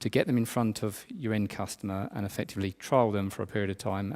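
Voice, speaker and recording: At a very fast pace, a man speaks with a fairly low pitch and fairly even intonation on a very clean recording with a silent background. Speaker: tech industry conference speaker. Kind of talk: conference talk. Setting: stage with audience. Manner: hesitant, many fillers.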